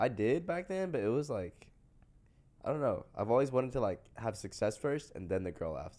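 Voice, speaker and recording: Speaking at a fairly quick pace, a man shows very wide pitch swings, vocal fry and a dark, mellow tone. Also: medium pitch for a man. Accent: American. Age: 20s. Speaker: film student. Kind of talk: casual chat.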